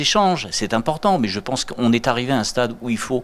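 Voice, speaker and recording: This man talks at a medium pitch with very wide pitch swings. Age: 50s. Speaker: art collector. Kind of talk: TV interview. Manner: halting, many repetitions.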